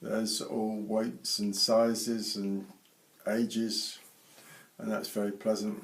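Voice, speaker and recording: A medium-pitched man speaks with a British accent. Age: 80s+. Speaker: retired airline pilot. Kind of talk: interview.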